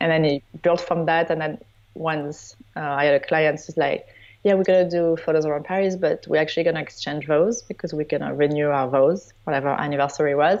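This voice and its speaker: The delivery moves at a fairly quick pace. Intonation stays fairly even. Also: woman, very deep, low pitch for a woman. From southern France (Provence). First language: French. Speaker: wedding photographer. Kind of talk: interview.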